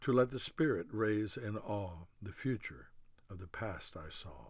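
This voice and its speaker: A man with an ordinary speaking voice and fairly low pitch. He talks at a fairly slow pace with ordinary pitch variation. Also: very clean recording, silent background. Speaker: poet. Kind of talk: poetry reading aloud, rhymed couplets in measured spoken-word cadence. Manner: formal, deliberate and earnest, with rhythmic rhyme-driven phrasing.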